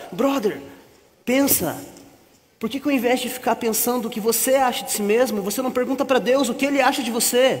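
A man at an extremely high pitch, fairly quick in pace, with fairly even intonation. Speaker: actor in church skit. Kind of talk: scripted drama dialogue. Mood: gentle encouraging advice. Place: stage.

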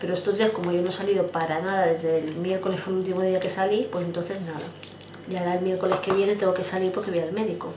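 A woman rattles along at a very fast pace in a monotone, flat voice, with noticeable background noise behind her. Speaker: vlogger. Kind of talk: casual vlog chat. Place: home room. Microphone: phone near.

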